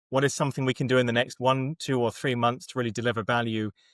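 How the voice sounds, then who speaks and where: A man of medium pitch speaks in a British accent, with a dry, close sound with no echo in a very clean recording with a silent background. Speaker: agile framework methodologist. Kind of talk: podcast interview.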